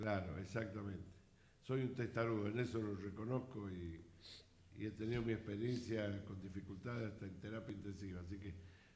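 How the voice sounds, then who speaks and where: Amid audible room echo, a man talks fairly quickly at a fairly low pitch with fairly even intonation. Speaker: radio host. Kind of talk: radio interview.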